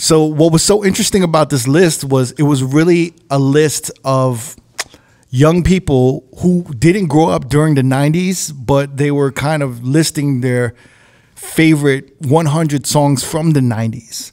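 Over a quiet background, a man with a New York accent talks at a fairly slow pace and a fairly high pitch, with ordinary pitch variation. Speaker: DJ and podcast host; DJ, podcast host. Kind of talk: casual interview. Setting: studio. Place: studio. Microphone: studio mic.

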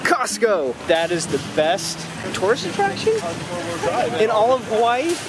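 Music plays behind this man as he talks at a fairly slow pace. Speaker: family vlogger. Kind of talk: casual vlog chat. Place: station. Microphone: phone near.

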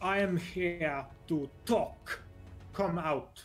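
A put-on character voice, robotic and strained, at a middle pitch, with faint music in the background. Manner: strained, squeezed out through gritted teeth.

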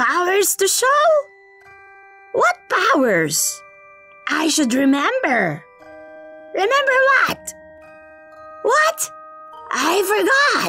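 In a put-on character voice with an extremely high pitch, the speaker goes very slowly with long, frequent pauses while clear music plays in the background. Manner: flustered, forgetful.

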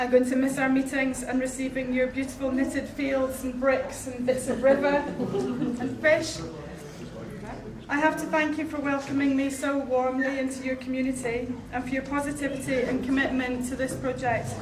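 At a moderate pace, a woman talks in a high pitch, with noticeable background noise present. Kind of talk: speech. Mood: warm, slightly nervous. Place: hall.

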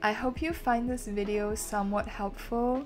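A woman speaking at a fairly slow pace over clear music in the background. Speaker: vlogger. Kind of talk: casual vlog narration.

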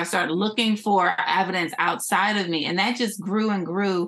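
With an American accent, a woman speaks at a moderate pace with ordinary pitch variation over noticeable background noise. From US, Philadelphia. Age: 40s. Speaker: entrepreneur and former TV shopping host. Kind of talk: interview, life story.

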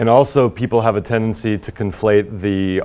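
With an American accent, a man speaks at a moderate pace and a fairly low pitch. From Indiana, US Midwest. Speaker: high school teacher and horror novelist; teacher. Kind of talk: news interview soundbites. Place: studio. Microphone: lapel.

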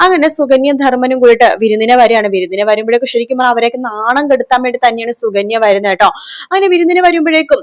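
Her voice sits high for a woman. She speaks with lively, varied intonation. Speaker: TV serial review YouTuber. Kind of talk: plot recap monologue.

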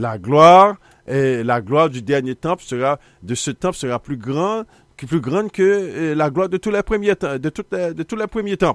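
Against a quiet background, a man with a Haitian accent swings his pitch very widely in a dry sound with no echo. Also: fairly slow pace. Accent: Haitian Creole-accented French. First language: Haitian Creole (speaking French). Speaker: Bible teacher, TV show host; Bible teacher, TV host. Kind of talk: biblical teaching broadcast; sermon-style Bible teaching. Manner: halting, repetitive. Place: studio. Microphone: studio mic.

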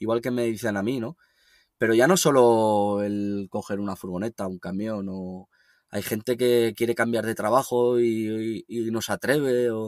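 Male voice, a plain, everyday voice at medium pitch, with fairly even intonation and a fairly slow pace, in a dry, close sound with no echo. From northern Spain, Logroño. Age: 30s. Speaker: van lifer and writer. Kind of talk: interview. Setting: remote call.

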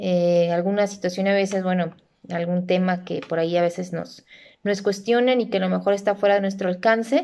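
A woman speaks at a medium pitch. Her pace is fairly quick, and her intonation is fairly even. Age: 30s. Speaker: university lecturer and accountant; teacher. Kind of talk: self-introduction video. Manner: hesitant, with frequent fillers. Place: home room. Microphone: phone near.

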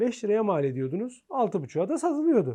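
The voice has a dark, mellow tone, very wide pitch swings, and a very slow pace. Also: man. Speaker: pharmacist. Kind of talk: interview. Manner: hesitant fillers.

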